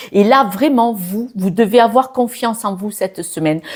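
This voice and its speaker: A woman's plain, everyday voice at a fairly slow pace, with ordinary pitch variation. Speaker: tarot reader. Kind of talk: astrology reading. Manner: casual, many filler sounds.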